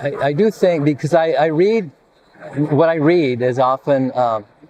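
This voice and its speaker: Against noticeable background noise, a man speaks at a fairly slow pace with a fairly high pitch. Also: ordinary pitch variation. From US-Mexico border, born in Mexico. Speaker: physician and poet. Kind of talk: interview. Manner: halting.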